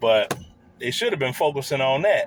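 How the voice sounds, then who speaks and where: An animated man with an American accent speaks somewhat breathily, his pitch swinging very widely. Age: 60s. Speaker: YouTube commentator. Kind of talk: reaction video commentary.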